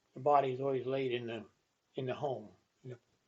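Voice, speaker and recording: This speaker has an American accent. The intonation is monotone and flat. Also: man. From Pennsylvania, Cumberland County. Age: 90s. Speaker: retired farmer and township employee. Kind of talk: casual interview. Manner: halting.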